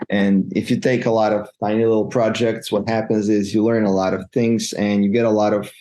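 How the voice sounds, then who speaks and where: A man's fairly low, dark, mellow voice in a Montenegrin accent, with monotone, flat intonation, a moderate pace and a quiet background. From Montenegro. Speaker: freelance web developer. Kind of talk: interview. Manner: halting, repeats words.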